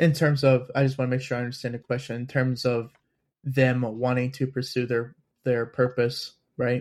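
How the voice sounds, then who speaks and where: At a medium pitch, a man speaks in a flat monotone at a moderate pace. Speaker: podcast host. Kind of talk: casual conversation.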